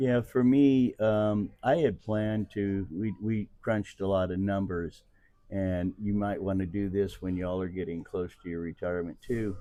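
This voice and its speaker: The man's tone is dark and mellow, and he keeps a moderate pace. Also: fairly low pitch for a man, ordinary pitch variation. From Missouri, Kansas City. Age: 60s. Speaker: retiree. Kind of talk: interview.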